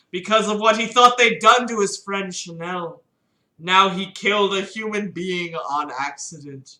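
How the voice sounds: The natural reading voice comes through against a quiet background.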